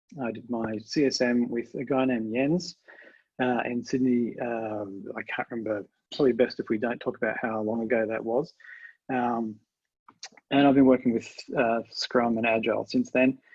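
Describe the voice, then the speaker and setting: This man speaks with an Australian accent. His intonation stays fairly even. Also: medium pitch for a man, moderate pace. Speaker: agile trainer and researcher. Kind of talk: webinar presentation. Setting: video call webinar. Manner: halting, many fillers.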